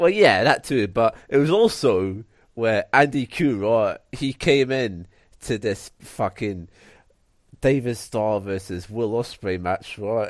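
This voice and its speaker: On a very clean recording with a silent background, a man speaks in a Scottish accent at a very slow pace. His voice is medium in pitch with ordinary pitch variation. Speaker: wrestling podcast co-host. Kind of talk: casual chat. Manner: animated.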